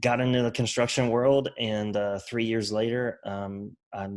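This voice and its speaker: Over a silent background in a very clean recording, a man with a Southern US accent talks with monotone, flat intonation. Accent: Southern country. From US South, Mobile, Alabama and rural Mississippi. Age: 30s. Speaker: construction business owner and author. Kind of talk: podcast interview.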